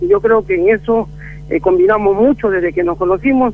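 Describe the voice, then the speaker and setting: The man's voice is high-pitched and moves at a fairly quick pace. Noticeable background noise runs underneath. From Peru. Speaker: percussionist. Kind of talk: interview. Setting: phone call.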